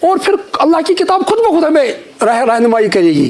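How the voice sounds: The tone is slightly mellow. Intonation stays lively throughout. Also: man.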